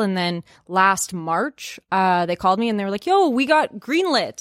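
A woman with an unremarkable speaking voice at a medium pitch talks at a fairly quick pace, recorded very cleanly against a silent background with a dry, close sound and no echo. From Canada. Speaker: comedy YouTuber and actor. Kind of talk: casual podcast interview. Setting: studio.

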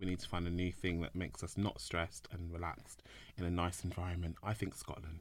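Speaking at a fairly quick pace with a London accent, a man has a very deep, low pitch and ordinary pitch variation. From London, England. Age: 30s. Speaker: inclusion consultant, co-founder. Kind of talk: casual interview chat.

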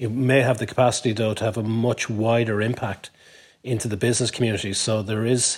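Speaking in an Irish accent, a man keeps to a moderate speed. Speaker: business lobby chief executive. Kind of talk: panel discussion.

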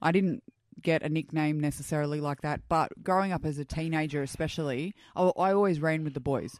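Speaking fairly quickly with an Australian accent, the woman has a very deep, low pitch and ordinary pitch variation. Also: very clean recording, silent background. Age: 30s. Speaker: guest sharing her story. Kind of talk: casual interview chat. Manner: outgoing, loud, upbeat.

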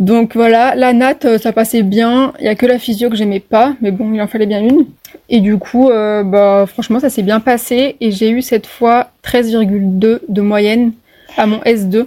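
Her tone is dark and mellow, with a fairly high pitch. The woman's intonation stays fairly even. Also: fairly slow pace. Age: 20s. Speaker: medical student. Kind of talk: podcast interview.

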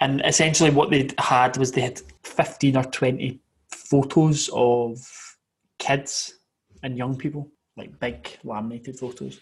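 At a fairly slow pace, a man with a Scottish accent speaks somewhat breathily, with fairly even intonation and big swings in loudness. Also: medium pitch for a man. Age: 20s. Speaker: podcast co-host. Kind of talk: casual chat.

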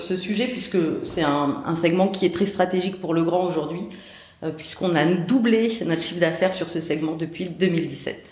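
Moderate-paced speech with ordinary pitch variation, audible room echo and noticeable background noise. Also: woman. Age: 40s. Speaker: sales director. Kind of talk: interview.

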